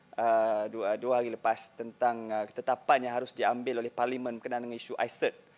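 A man is speaking. His pace is moderate. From Malaysia. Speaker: parliamentary staff, audience questioner; questioner. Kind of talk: audience question. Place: hall.

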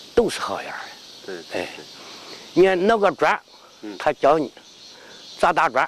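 With light background noise, a man talks in a Henan accent. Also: dry sound with no echo. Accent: Henan dialect Mandarin. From Henan, China (Dengfeng); Henan, China. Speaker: martial arts grandmaster. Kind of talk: interview. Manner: halting. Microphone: lapel.

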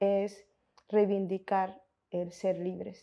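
A woman's dark, mellow tone, monotone and flat, at a very slow pace. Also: quiet background. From Colombia, Montes de María (Caribbean region); Colombia. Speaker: researcher and film commentator; interviewee. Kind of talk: interview. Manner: halting, with fillers and self-corrections. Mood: calm, thoughtful.

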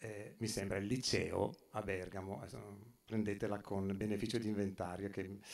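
Hardly pausing, a man speaks with a fairly low pitch and monotone, flat intonation. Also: moderate pace. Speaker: speaker at exhibition opening, photographer's descendant; speaker. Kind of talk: public talk. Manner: halting, many fillers. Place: hall. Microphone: camera far.

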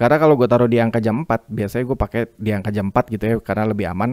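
Very fast and with fairly even intonation, a man talks in a dry, close sound with no echo. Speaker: YouTuber reviewing microphones as a hobbyist. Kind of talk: tutorial. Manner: casual.

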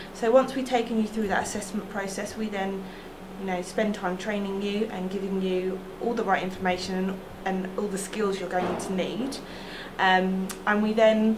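With noticeable background noise, a woman speaks at a moderate pace in a monotone, flat intonation. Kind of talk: interview answer. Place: office.

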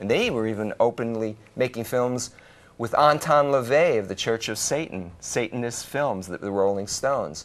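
A normal speaking voice moves at a moderate pace with ordinary pitch variation. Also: man. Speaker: call-in show host. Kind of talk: call-in talk show. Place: studio.

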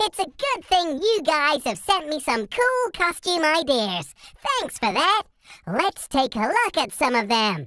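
In a cartoonish character voice, the high-pitched speaker moves at a fairly slow pace with very wide pitch swings. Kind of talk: casual talk to camera. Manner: upbeat.

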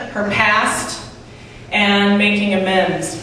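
The speech moves at a very slow pace, with light background noise and strong room echo. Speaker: stand-up comedian. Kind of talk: stand-up comedy set with an absurd celebrity story and acted-out sketch voices. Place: stage.

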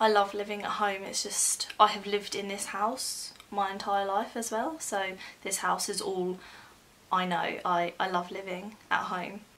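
A fairly slow pace with fairly even intonation. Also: woman. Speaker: new vlogger. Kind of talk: casual vlog chat. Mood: slightly nervous, chatty. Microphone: phone near.

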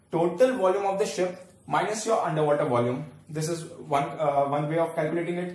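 A man with a high pitch speaks at a fairly quick pace with ordinary pitch variation, and the room echo is audible. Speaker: teacher. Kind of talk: lecture. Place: home room. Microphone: camera far.

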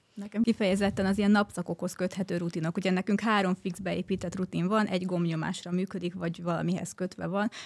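A woman at a very fast pace in a monotone, flat delivery, against a quiet background. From Hungary. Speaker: guest, wife of smart home enthusiast; guest. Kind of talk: casual chat. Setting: studio. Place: studio. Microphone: studio mic.

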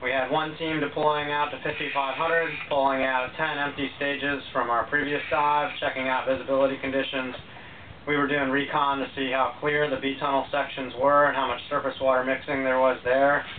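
Against light background noise, a man talks at a moderate pace with monotone, flat intonation. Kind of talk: casual vlog chat. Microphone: phone near.

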